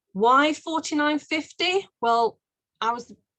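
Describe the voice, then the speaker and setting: A woman speaks with a Mancunian accent in a bright, sharp tone. The sound is dry and close, with no echo. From Manchester, England. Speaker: painter. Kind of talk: interview talk about her art project.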